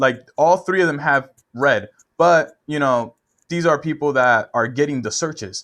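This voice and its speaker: An unremarkable speaking voice from a man, fairly high in pitch, with ordinary pitch variation, a moderate pace and a quiet background. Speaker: web marketing consultant. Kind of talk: screen-share tutorial. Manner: casual, with repetitions and fillers.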